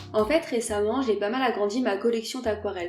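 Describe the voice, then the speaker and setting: A woman talks at a fairly quick pace in a fairly high pitch. Music plays in the background, and there is audible room echo. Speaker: watercolour artist, art YouTuber. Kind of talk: casual narration over drawing video. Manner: casual, hesitant with fillers.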